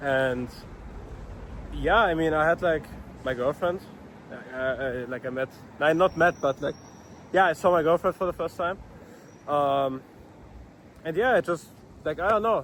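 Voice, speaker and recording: A man's fairly high voice with ordinary pitch variation, moving at a moderate pace broken by long, frequent pauses. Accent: non-native. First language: not English. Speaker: vlogger, dropshipping entrepreneur. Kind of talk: casual vlog monologue. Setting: outdoors. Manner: halting, many fillers and restarts.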